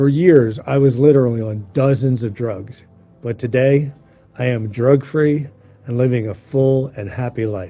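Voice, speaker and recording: A man speaks in an ordinary speaking voice at a medium pitch, with ordinary pitch variation. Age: 60s. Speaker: healing teacher. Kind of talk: teaching talk.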